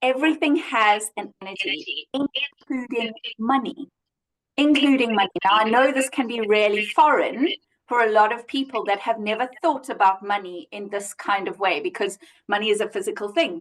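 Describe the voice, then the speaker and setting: Animated and with lively intonation, a woman speaks at a moderate pace. Her pitch is fairly high. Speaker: money coach. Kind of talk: casual chat. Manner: loud.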